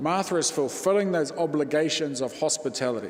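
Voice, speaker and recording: A man speaks at a fairly high pitch with lively intonation, and audible echo fills the room. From New Zealand, East Cape (Māori). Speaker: Māori Anglican priest, guest preacher. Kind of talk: sermon. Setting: church.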